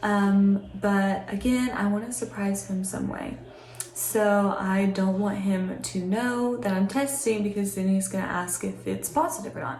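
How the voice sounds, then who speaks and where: Quiet and at a medium pitch, a woman talks at a moderate pace with lively intonation. Noticeable background noise and audible room echo are present. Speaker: vlogger. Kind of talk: casual vlog talk to camera. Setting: at home, separate room. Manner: quiet, hushed.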